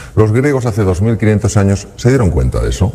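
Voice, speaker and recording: A man talks while clearly audible background noise continues around him. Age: 60s. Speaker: public speaker, former surgeon. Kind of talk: talk to audience.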